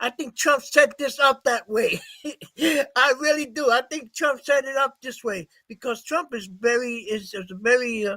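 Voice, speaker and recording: Projecting a raised voice at an extremely high pitch, a man keeps a bright, sharp tone, a moderate pace and ordinary pitch variation. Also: dry, close sound with no echo. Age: 70s. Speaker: political party leader. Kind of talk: casual chat. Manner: halting.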